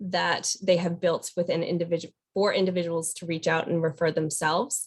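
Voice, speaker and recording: At a fairly low pitch and a moderate pace, a woman talks in an ordinary speaking voice. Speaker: state program presenter. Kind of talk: webinar data presentation. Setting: webinar.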